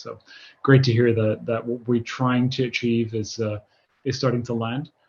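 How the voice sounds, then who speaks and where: Fairly quick and flat in intonation, a man with an American accent talks in a somewhat breathy voice at a medium pitch. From Netherlands/Germany, lived in many countries. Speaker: marketing executive. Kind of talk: interview. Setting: video call. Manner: many filler words and repetitions.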